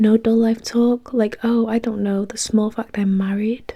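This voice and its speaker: A woman whispers at a moderate pace. She is soft-spoken and somewhat breathy. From UK. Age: 20s. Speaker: ASMR creator. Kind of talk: novel reading with dialogue, narrator's voice and a friend's voice. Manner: soft-spoken, whispery, relaxing.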